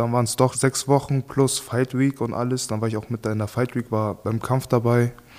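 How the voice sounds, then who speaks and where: Moderate pace and monotone, flat intonation from a man at a medium pitch. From Germany. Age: 20s. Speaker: professional boxer. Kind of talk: casual chat.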